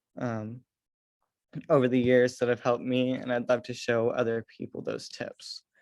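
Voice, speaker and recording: A man with an American accent and an ordinary speaking voice talks at a medium pitch and moderate pace in a very clean recording with a silent background. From US Midwest, rural Missouri. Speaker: student leader. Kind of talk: presentation.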